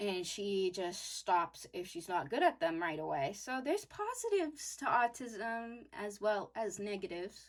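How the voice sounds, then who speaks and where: A woman with a normal speaking voice talks at a fairly slow pace in a medium pitch, her intonation lively and her speech flowing with hardly any pauses. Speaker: youtuber sharing personal story. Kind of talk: personal story while drawing.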